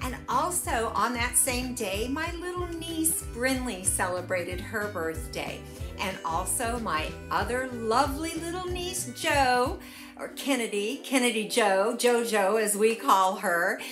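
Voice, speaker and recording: Clear music sits behind a woman who speaks at a fairly slow pace. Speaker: cooking vlogger. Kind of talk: casual vlog chat. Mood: cheerful, warm. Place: home room.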